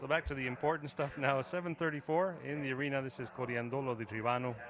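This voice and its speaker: A man's medium-pitched voice at a very fast pace, ordinary pitch variation, noticeable background noise. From Mexico. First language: Spanish. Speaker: equestrian commentator. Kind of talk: live commentary.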